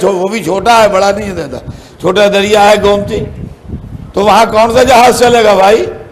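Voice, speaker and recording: A man's high-pitched voice comes through with clear background noise behind it. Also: ordinary pitch variation. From Lucknow, India. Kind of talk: religious sermon (majlis) delivered to a live audience. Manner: conversational, chatty with humorous asides to the audience.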